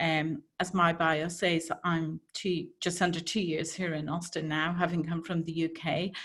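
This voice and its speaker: Using hardly any pauses, a woman with an Irish accent speaks at a fairly slow pace in a fairly low pitch, her intonation monotone and flat. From Ireland. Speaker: healthcare change management consultant. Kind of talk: presentation talk.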